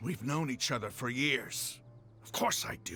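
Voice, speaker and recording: A man's raspy, put-on character voice at a medium pitch and moderate pace, with big swings in loudness and clear background noise. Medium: video game. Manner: intense, proud.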